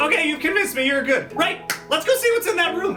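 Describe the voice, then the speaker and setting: A man's put-on character voice at a very fast pace over clear background noise. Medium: actual play. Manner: eager, impulsive.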